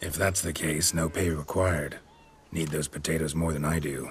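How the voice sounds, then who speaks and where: Over clear background noise, a man uses a put-on character voice with very deep, low pitch at a moderate pace. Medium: video game. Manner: terse, clipped sentences, deadpan.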